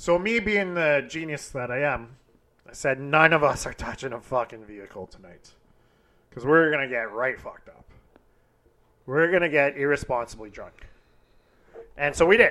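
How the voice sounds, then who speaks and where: A man with a fairly high pitch and lively intonation speaks at a moderate pace, taking long, frequent pauses, his loudness swinging widely. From Western Canada. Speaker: podcast host. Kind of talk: casual banter, crude humor. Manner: irreverent, profane.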